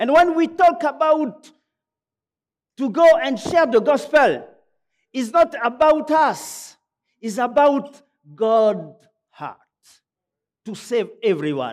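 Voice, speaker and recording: A man's extremely high voice in a French accent, very slow, with lively intonation, big swings in loudness and long, frequent pauses. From Gabon. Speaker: pastor. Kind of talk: sermon. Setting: church. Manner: halting.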